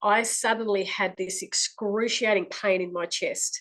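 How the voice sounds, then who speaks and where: Fairly even intonation marks this woman's speech in an Australian accent. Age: 60s. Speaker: clairvoyant. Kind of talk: testimony. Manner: halting.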